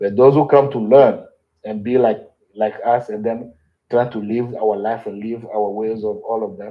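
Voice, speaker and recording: Moderate pace, monotone and flat intonation, and big swings in loudness. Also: man, medium pitch for a man. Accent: non-native. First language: not English. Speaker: cultural knowledge keeper. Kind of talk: interview.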